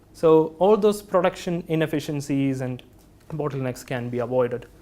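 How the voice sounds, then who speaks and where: A man speaks with an Indian accent at a moderate pace. His tone is dark and mellow. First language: not English. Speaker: engineering product specialist. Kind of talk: technical presentation. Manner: hesitant, with fillers.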